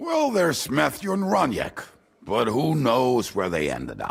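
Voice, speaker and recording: Speaking at a moderate pace, a man adopts a put-on character voice. It sounds raspy and sits at a medium pitch. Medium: video game. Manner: blunt, cynical.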